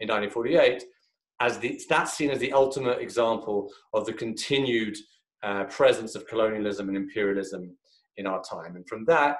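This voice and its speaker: A man talks with a British accent at a moderate pace. The recording has audible room echo. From UK. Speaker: think tank fellow. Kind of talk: online lecture. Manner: halting, many fillers.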